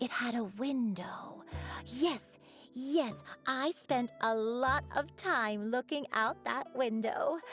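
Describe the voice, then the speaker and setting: With clear music in the background, a woman does a put-on character voice at a high pitch, speaking at a very slow pace with ordinary pitch variation. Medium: video game. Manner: gentle, hesitant.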